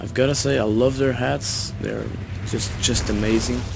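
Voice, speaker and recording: A man over noticeable background noise. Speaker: gaming YouTuber. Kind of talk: gameplay commentary. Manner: halting. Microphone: cheap low-quality microphone.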